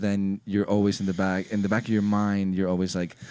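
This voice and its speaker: A man with a Spanish accent, a dark, mellow tone and a fairly low pitch at a fairly quick pace, dry with no echo over a quiet background. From Ecuador. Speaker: music producer and DJ; DJ. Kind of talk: casual chat. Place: studio. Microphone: studio mic.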